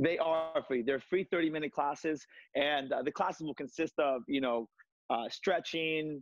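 A man's fairly high voice at a fairly slow pace, with ordinary pitch variation, a dry sound with no echo and a quiet background. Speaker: martial arts instructor. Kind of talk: TV interview, leading a workout demo. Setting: video call. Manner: hesitant, frequent filler words.

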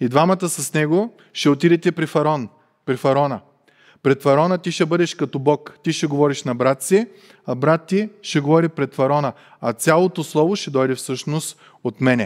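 A man's fairly high voice at a moderate pace, ordinary pitch variation, over a quiet background. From Bulgaria. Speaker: preacher. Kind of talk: sermon. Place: church. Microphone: headset.

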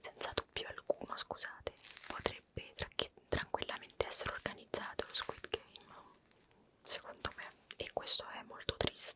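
Whispering and soft-spoken, a woman talks at a moderate pace with long, frequent pauses over noticeable background noise. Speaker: video creator. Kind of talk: casual vlog chat. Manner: soft, close-mic ASMR whisper.

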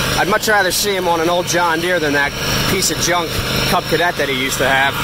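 Delivered at a very fast pace, the speech has a dry sound with no echo beneath loud background noise. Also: man. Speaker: tractor enthusiast, grandson narrating. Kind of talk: casual narration to camera. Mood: proud, lightly joking. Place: garden. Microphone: phone near.

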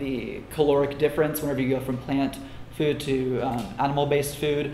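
A man talks at a fairly quick pace. Audible room echo and light background noise surround him. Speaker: conference speaker. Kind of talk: lecture. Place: classroom.

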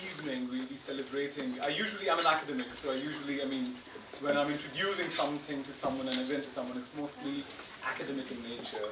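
Audible room echo surrounds a man speaking at a fairly quick pace. His medium-pitched voice keeps a fairly even intonation.

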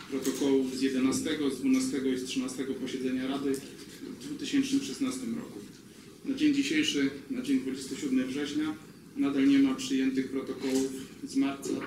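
Audible room echo and noticeable background noise surround the recording. A man speaks at a fairly slow pace. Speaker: district council member. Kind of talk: formal reading of a motion at a meeting. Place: meeting room.

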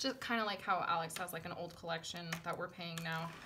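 A bright, sharp tone moves at a fairly quick pace with fairly even intonation against noticeable background noise. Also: woman. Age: 30s. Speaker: lifestyle and budgeting vlogger; budgeting vlogger. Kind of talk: casual vlog chat. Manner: hesitant, many fillers. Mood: candid, personal story. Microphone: phone near.

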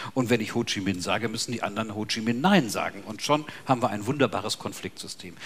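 This man talks very fast. The rise and fall of his pitch is ordinary. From Bavaria. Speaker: sociology professor. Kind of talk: panel discussion. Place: hall.

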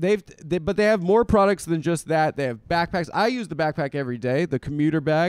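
Against a quiet background, a man's fairly high voice has lively intonation, the sound dry with no echo. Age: 30s. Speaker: comedian and podcast host; comedian, podcast host. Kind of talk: casual chat. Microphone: handheld.

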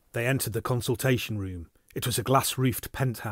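The passage is read aloud in a natural voice, with ordinary pitch variation.

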